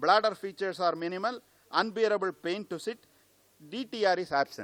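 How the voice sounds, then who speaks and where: This man talks loudly at a moderate pace. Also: dry, close sound with no echo. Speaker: Ayurvedic doctor, conference speaker. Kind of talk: lecture. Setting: conference hall.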